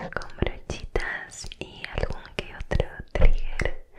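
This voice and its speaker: In a gentle tone, a woman whispers at a very slow pace. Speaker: ASMR creator. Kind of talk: soft ASMR whisper to the viewer. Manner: gentle whisper near the microphone. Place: home room. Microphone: studio mic.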